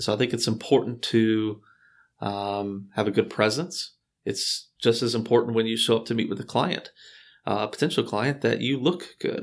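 On a very clean recording with a silent background, a man with an American accent uses a normal speaking voice at a moderate pace and medium pitch, with ordinary pitch variation. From Houston, Texas. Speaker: real estate broker. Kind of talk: interview.

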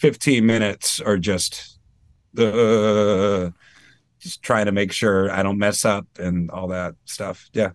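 A man with an American accent talks at a fairly low pitch. His pitch varies in an ordinary way, and the background is quiet. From Maine, US. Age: 30s. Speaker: singer and tribute band frontman. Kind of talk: casual interview chat. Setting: studio.

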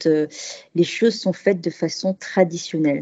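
This woman's voice has a dark, mellow tone. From Paris, France. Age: 40s. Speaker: expat cooking workshop host. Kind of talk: interview conversation.

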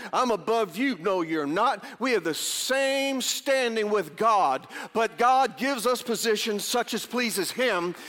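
Over noticeable background noise, a man with a high pitch speaks at a fairly slow pace, his loudness very even and his intonation lively. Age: 50s. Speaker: pastor. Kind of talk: sermon.

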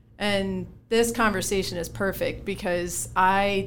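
Medium-pitched female speech in an American accent. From Connecticut. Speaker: former college softball player, company employee. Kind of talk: casual panel chat. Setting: studio.

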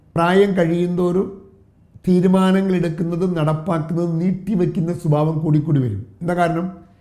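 A man with a high voice and a dark, mellow tone speaks in a flat monotone, and the room echo is audible. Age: 50s. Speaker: motivational trainer. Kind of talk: motivational talk.

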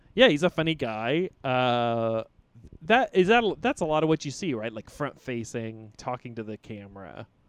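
A plain, everyday voice from a man at a medium pitch and moderate pace, with lively intonation and big swings in loudness, in a dry, close sound with no echo and a quiet background. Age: 30s. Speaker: comedian. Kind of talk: casual chat.

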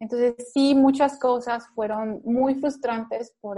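Her words come at a fairly slow pace. This woman's tone is dark and mellow. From Mexico. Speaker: nutrition doctor, former lecturer. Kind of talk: interview.

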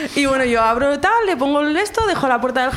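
A woman talks at a high pitch. The recording carries audible room echo and noticeable background noise. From Zaragoza, Spain. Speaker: audience member telling a story. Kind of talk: comic personal anecdote.

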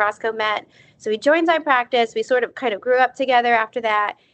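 A woman talks at a fairly quick pace. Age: 30s. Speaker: dermatology physician assistant and aesthetics trainer. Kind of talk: casual interview.

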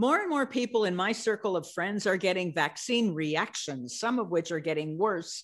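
A woman speaks in a normal speaking voice at a moderate pace, her pitch medium. Her intonation is lively, and the background is quiet. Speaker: webcast host. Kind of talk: webcast host introduction.

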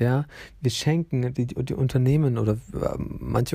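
His voice is somewhat breathy, with a dark, mellow tone at medium pitch. The man shows ordinary pitch variation. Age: 20s. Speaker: podcast host. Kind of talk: casual monologue. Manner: hesitant, many fillers.

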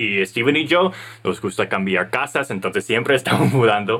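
Speaking with an English accent, a man of medium pitch keeps a moderate pace. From United States. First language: English (speaking Spanish). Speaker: podcast co-host, entrepreneur. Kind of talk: casual business chat.

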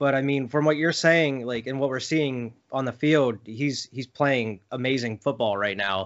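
With an American accent, a man in a plain, everyday voice keeps a moderate pace, medium pitch and ordinary pitch variation. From Philadelphia area. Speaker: sports podcast host. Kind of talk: casual interview chat.

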